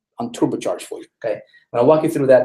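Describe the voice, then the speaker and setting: A man speaks with a non-native accent. His tone is energetic. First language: not English. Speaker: online marketing trainer. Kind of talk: webinar presentation. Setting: live online broadcast. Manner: energetic, repetitive.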